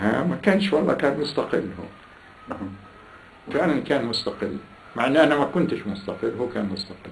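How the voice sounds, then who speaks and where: A man with a Palestinian accent, fairly high pitch and very wide pitch swings, at a moderate pace over light background noise. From Salama, Jaffa, Palestine. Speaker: Nakba survivor, oral history interviewee. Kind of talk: interview answer. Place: home room. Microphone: camera far.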